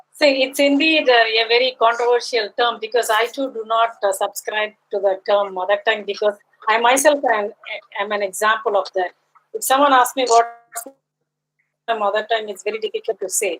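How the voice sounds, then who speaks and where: A woman's fairly high voice at a fairly quick pace, in a Tamil accent, with music in the background. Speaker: linguist. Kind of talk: academic Q&A.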